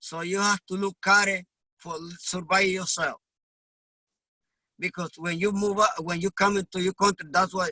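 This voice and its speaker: At a moderate pace but with long, frequent pauses, a man with a high pitch speaks in a raised, projected voice with a bright, sharp tone and monotone, flat intonation, recorded dry and close with no echo. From Honduras. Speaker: immigrant delivery truck driver. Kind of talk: interview.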